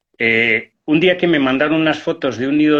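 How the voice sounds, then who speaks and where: This man's voice is fairly high. He speaks at a fairly slow pace with ordinary pitch variation. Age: 60s. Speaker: hunter and conservationist. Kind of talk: interview. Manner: halting.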